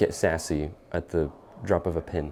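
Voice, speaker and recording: A man with an American accent, very deep and low in pitch, with fairly even intonation, amid noticeable background noise. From Texas. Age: 20s. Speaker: college student, student club treasurer. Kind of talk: documentary interview and casual chat.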